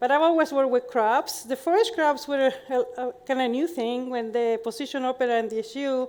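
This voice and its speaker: Speaking with a Chilean accent, a woman talks at a high pitch and a fairly quick pace with ordinary pitch variation. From Chile, Santiago. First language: Spanish. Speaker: professor. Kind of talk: conference talk.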